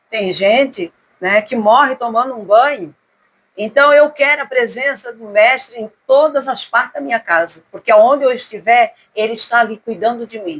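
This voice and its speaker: The voice moves at a moderate pace with ordinary pitch variation. Its loudness swings widely. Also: woman, fairly high pitch for a woman. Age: 60s. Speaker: gospel singer. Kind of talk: casual interview. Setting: at her home.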